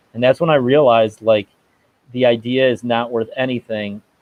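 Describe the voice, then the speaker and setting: Fairly even intonation in an American accent. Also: man. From upstate New York (Rochester). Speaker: startup co-founder. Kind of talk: podcast interview. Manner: fast.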